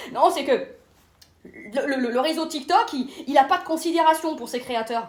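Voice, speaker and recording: Over noticeable background noise, a woman with a high pitch uses an animated tone and ordinary pitch variation. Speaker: comedian. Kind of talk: stand-up. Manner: fast.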